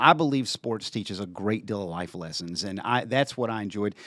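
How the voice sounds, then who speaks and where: A man with a Southern accent speaks at a moderate pace with lively intonation, his sound dry and close with no echo. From western Kentucky (Paducah). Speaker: TV station general manager. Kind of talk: casual interview chat.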